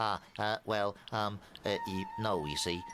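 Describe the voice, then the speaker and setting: A put-on character voice from a man, fairly low in pitch and fairly slow, with clear background noise behind it. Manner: stuttering, hesitant.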